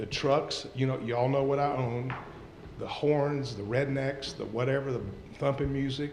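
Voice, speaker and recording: Amid noticeable background noise and audible room echo, a man speaks at a moderate pace in a fairly high pitch with monotone, flat intonation. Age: 60s. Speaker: local investor speaking at a city council meeting. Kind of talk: public comment. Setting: city council meeting.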